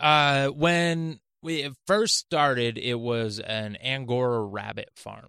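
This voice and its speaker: A man speaks at a very slow pace in a bright, sharp tone. The recording is very clean, with a silent background. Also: medium pitch for a man, ordinary pitch variation, hardly any pauses, big swings in loudness. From Maine. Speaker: comedian. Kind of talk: casual chat. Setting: studio.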